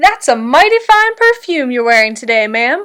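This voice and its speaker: A woman's put-on character voice, high in pitch with very wide pitch swings, at a moderate pace, in a very clean recording with a silent background. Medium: read story. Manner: gentle, courteous.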